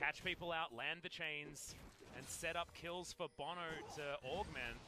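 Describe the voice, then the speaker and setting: Someone speaks with an Australian accent at a fairly slow pace. Music plays in the background. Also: man, high pitch for a man. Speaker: esports commentator. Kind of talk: live commentary. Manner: animated.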